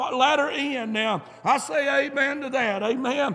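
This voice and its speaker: In a Southern US accent, a man speaks in an animated tone. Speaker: preacher. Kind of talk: sermon. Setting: church. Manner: animated, punctuating nearly every sentence with a fervent 'amen'; emphatic, pulpit-style exhortation with direct address to the congregation.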